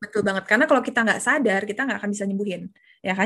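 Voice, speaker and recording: A somewhat breathy voice talks at a very fast pace with ordinary pitch variation. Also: woman. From Jakarta, Indonesia. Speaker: confidence coach. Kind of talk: casual interview.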